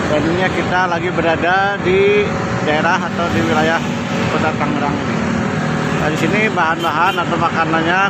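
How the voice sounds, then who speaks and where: A man talks at a fairly quick pace over loud background noise. The sound itself is dry, with no echo. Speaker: food vlogger. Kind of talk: casual vlog outro. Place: market. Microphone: phone near.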